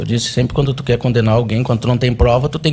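A man talks at a medium pitch. His pace is fairly quick. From southern Brazil, Porto Alegre. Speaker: defendant in a criminal trial. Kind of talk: court testimony. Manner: emotional.

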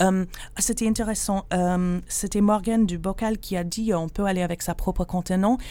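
On a very clean recording with a silent background, a woman with a dark, mellow tone speaks at medium pitch and a moderate pace, her intonation fairly even. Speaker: charity shop worker. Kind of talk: radio interview.

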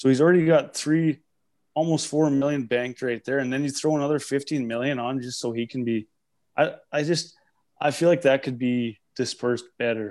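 In a very clean recording with a silent background, a man at medium pitch speaks at a moderate pace with fairly even intonation, in an unremarkable speaking voice. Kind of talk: casual banter podcast chat.

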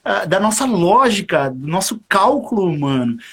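A man is speaking. His pitch swings very widely. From São Paulo, Brazil (East Zone). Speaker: saxophonist. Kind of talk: casual interview. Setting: live stream video call.

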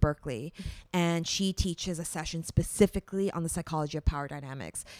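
A woman with a Canadian accent talks in an ordinary speaking voice at a fairly low pitch with ordinary pitch variation. The very clean recording has a silent background and a dry, close sound with no echo. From Canada. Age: 30s. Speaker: breakup coach. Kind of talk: podcast interview.

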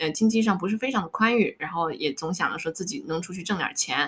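Her delivery is an unremarkable speaking voice, medium in pitch for a woman, fairly quick, with ordinary pitch variation. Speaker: life coach. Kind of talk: casual interview chat, sharing life story.

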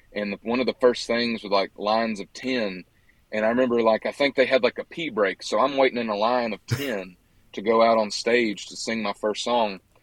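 With a Southern US accent, a man talks at a medium pitch and moderate pace with fairly even intonation. His loudness swings widely, in a dry, close sound with no echo. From US South, western Georgia. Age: 20s. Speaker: country singer-songwriter. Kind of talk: casual interview. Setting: outdoors at a social gathering, remote call.

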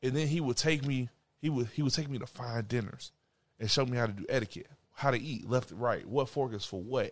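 At a fairly quick pace, a man talks in an unremarkable speaking voice with medium pitch and ordinary pitch variation. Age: 20s. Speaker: podcast co-host, small business owner. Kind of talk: casual chat.

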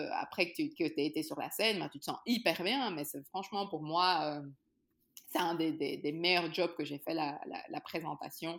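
A woman's plain, everyday voice, fairly low in pitch with ordinary pitch variation, on a very clean recording with a silent background. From Belgium, Brussels. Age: 30s. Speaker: entrepreneur and TV presenter. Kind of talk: interview.

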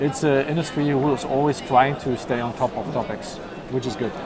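Moderate pace, with crowd noise in the background. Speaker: startup CEO, cybersecurity. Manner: hesitant with fillers.

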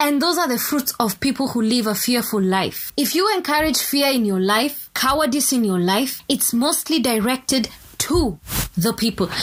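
A high-pitched woman, animated in tone with lively intonation, at a moderate pace and very even loudness, over noticeable background noise. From Kenya. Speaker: podcast host.

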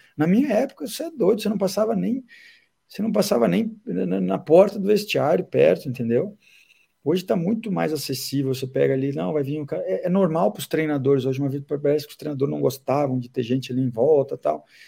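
Very fast, somewhat breathy speech from a man, fairly high-pitched with a dark, mellow tone and very wide pitch swings. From southern Brazil, Caxias do Sul. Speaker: football fitness coach. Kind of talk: casual interview. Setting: remote call from abroad.

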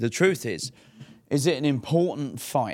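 A man with an English accent on a very clean recording with a silent background. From England. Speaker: fight promoter. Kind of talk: casual interview. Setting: in person.

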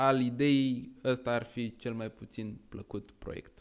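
A man at a very slow pace. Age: 20s. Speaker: tech startup co-founder, student. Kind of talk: casual chat.

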